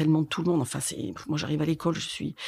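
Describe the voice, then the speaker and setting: At a very fast pace, the voice has a dark, mellow tone on a very clean recording with a silent background. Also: woman. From France, Corrèze (Brive-la-Gaillarde). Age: 60s. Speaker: schoolteacher. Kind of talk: testimony. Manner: halting, many hesitations and repetitions.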